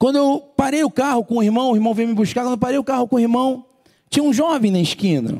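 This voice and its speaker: A man talks at a very fast pace with an extremely high pitch and a dark, mellow tone. His loudness stays very even, with ordinary pitch variation. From Brazil, outside Ceará. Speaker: preacher. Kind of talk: sermon. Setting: church.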